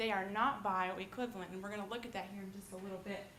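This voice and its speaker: Fairly even intonation from a woman, with noticeable background noise and audible room echo. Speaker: nursing student presenter. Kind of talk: lecture. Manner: fast.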